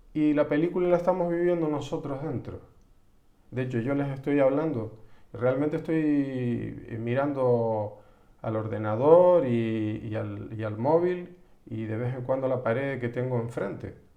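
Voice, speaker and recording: A man speaking at a fairly slow pace, with ordinary pitch variation and audible room echo. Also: medium pitch for a man. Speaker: psychologist. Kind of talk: live-streamed psychology talk. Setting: live stream from home computer. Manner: halting, many restarts.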